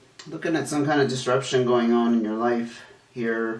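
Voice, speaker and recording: Moderate pace against noticeable background noise. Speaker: tarot reader. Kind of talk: tarot reading. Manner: halting, with fillers.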